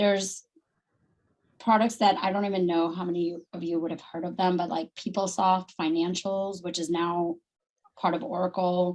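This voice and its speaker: A woman talks at a moderate pace in a plain, everyday voice. Her pitch is fairly low and her intonation fairly even. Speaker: Salesforce consultant and company founder. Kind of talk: presentation on video call.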